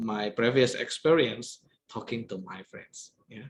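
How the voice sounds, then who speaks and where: A man is speaking. He has an Indonesian accent. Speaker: guest lecturer. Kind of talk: lecture.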